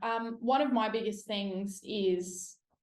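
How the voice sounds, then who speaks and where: Speaking fairly slowly in a room with audible echo, a woman with an Australian accent uses a fairly high pitch. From South Australia. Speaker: police officer. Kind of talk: interview podcast. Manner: casual.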